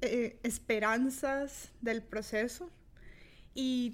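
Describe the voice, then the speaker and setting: In a very clean recording with a silent background, a woman talks with a Costa Rican accent. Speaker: podcast host. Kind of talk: solo podcast monologue. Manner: halting, many fillers.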